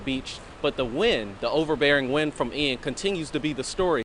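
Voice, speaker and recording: A man's fairly high voice, with ordinary pitch variation, comes through noticeable background noise. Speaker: TV news reporter and anchor. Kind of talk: TV news field report.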